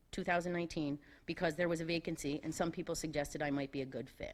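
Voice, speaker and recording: A woman speaks very fast in a fairly low voice. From US Northeast, New York Capital District. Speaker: school board candidate. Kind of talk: prepared speech. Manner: loud.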